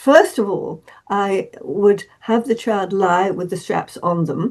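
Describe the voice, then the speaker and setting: This woman has a medium pitch and a dark, mellow tone. She speaks with an English accent and ordinary pitch variation. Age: 80s+. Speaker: therapist. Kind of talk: interview. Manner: halting, many repetitions and fillers.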